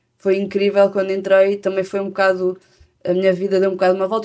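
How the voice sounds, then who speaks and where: A woman speaks in a European Portuguese accent. Her tone is dark and mellow. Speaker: singer-songwriter. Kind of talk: interview. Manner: halting.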